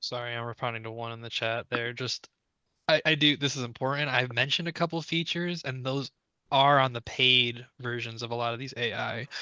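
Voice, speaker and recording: Recorded dry and close with no echo against a quiet background, a man talks at a fairly quick pace in a bright, sharp tone, with medium pitch and fairly even intonation. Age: young. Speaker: instructional designer and presenter. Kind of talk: Q&A session.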